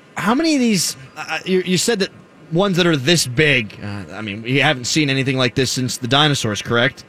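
A man's fairly high voice with very wide pitch swings, at a fairly quick pace amid noticeable background noise. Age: 20s. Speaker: sports radio host. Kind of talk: casual chat.

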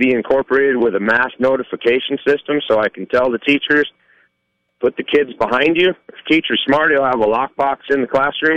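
An unremarkable speaking voice from a man, fairly high in pitch, fairly quick, with fairly even intonation and a dry, close sound with no echo. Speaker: caller. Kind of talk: opinionated call-in. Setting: phone call.

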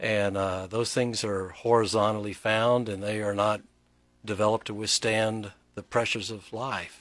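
A man with a Southern US accent speaks at a moderate pace in a fairly low pitch. His intonation is monotone and flat. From Texas. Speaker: pastor. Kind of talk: casual interview chat. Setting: studio.

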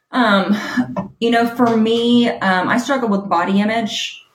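In an American accent, a woman talks with a somewhat breathy voice and fairly even intonation. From US South, Alabama. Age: 30s. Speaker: executive coach and author. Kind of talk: podcast interview.

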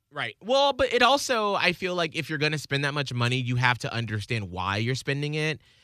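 A man talks at a fairly quick pace with hardly any pauses, his bright, sharp tone animated and his pitch swinging very widely. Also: fairly high pitch for a man. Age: 30s. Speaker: radio host. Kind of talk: casual chat. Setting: studio.

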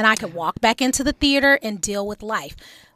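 In a very clean, dry, close recording with no echo and a silent background, a woman speaks in an animated, playful tone that is bright and sharp. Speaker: radio co-host. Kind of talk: casual banter on talk radio. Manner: animated, playful, sassy.

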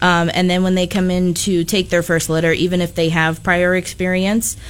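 Noticeable background noise sits under a woman speaking in a fairly low pitch with monotone, flat intonation. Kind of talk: casual chat. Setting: studio.

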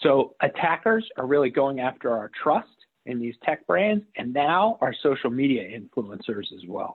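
Very wide pitch swings and big swings in loudness mark this man's fairly high voice as he speaks at a moderate pace. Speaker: cybersecurity expert. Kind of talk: radio interview.

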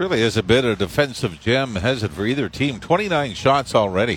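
Lively intonation marks this man's speech. He has a plain, everyday voice and a moderate pace. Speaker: hockey colour commentator. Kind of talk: live sports replay analysis. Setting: broadcast booth at arena. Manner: conversational, explanatory breakdowns.

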